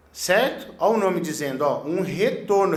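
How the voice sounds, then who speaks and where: In an animated tone and at a moderate pace, a man speaks with ordinary pitch variation, with audible room echo and noticeable background noise. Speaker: electrician teaching a course. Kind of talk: tutorial.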